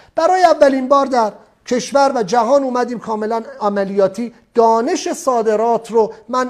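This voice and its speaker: This man has an extremely high pitch and an animated tone. He talks at a moderate pace. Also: ordinary pitch variation. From outside Iran. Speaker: export trainer. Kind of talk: lecture.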